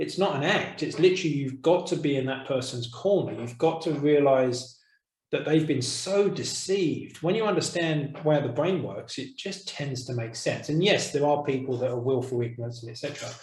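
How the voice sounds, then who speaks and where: Somewhat breathy speech at a moderate pace runs with hardly any pauses and ordinary pitch variation, with audible room echo around it. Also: man, fairly high pitch for a man. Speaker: course teacher. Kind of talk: online course discussion. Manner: soft-spoken.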